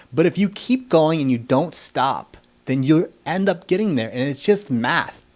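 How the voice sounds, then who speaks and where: A man speaks in a normal speaking voice with an American accent. His intonation is lively. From United States. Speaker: podcast host. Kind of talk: interview.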